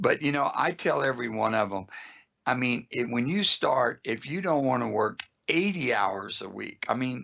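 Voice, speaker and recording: With an American accent and vocal fry, a man at medium pitch speaks at a moderate pace with lively intonation. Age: 60s. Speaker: automotive school owner. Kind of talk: podcast interview.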